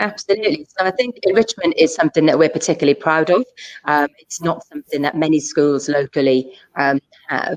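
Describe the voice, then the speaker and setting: A woman talks at a fairly quick pace with a Welsh accent and lively intonation. Her pitch is very deep and low, and the sound is dry and close with no echo. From South Wales. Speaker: school assistant principal. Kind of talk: school options evening Q&A. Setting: live online session.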